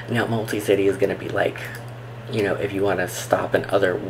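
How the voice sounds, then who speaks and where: Against noticeable background noise, a soft-spoken man talks at a moderate pace in a fairly low pitch. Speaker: travel vlogger. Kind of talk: tutorial. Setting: home, recording at computer. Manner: soft-spoken, talking low; casual, filler-heavy.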